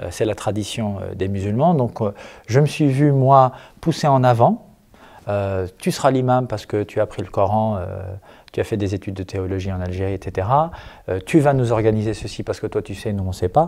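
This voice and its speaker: At a moderate pace, a man speaks in a fairly low voice with a dark, mellow tone and ordinary pitch variation. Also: quiet background. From Algeria and France. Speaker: imam and activist; imam. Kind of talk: interview. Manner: hesitant, many fillers. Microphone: handheld.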